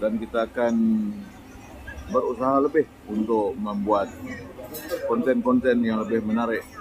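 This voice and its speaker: Noticeable background noise surrounds a man who speaks at a fairly slow pace. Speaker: food vlogger. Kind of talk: casual vlog chat. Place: market. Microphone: phone near.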